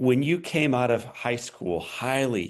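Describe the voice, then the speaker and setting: With a Midwestern US accent, the speaker shows vocal fry against a quiet background. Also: man. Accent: US Midwest. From Missouri. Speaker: podcast host. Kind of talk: interview.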